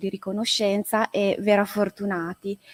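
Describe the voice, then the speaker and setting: Speaking at a moderate pace with an Italian accent, a woman has a dark, mellow tone and medium pitch, recorded dry and close with no echo. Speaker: art historian. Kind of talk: conference presentation.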